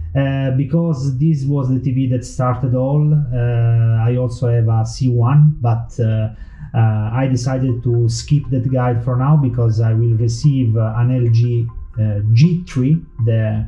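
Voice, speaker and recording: A man at medium pitch and a fairly slow pace, fairly even in intonation, with audible room echo and music in the background. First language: Italian. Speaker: tech YouTuber. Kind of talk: tutorial. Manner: halting, many fillers.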